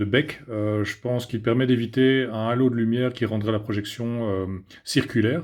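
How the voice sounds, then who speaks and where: Speaking with a Belgian accent, a man keeps a moderate pace, a medium pitch and fairly even intonation. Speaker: tech reviewer. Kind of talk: product review. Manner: hesitant, many filler sounds.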